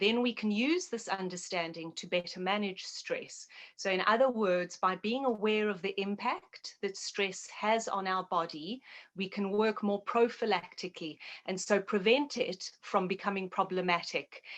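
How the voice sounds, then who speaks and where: At a moderate pace, a woman talks at medium pitch with ordinary pitch variation. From South Africa. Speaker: naturopath and health educator. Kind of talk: interview.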